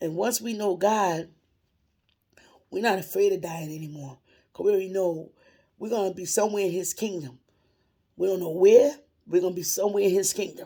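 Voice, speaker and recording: A woman of medium pitch speaks with a dark, mellow tone at a fairly quick pace, with ordinary pitch variation. Her loudness swings widely, and she leaves long, frequent pauses. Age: 60s. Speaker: retired worker sharing religious encouragement. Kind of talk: informal religious monologue.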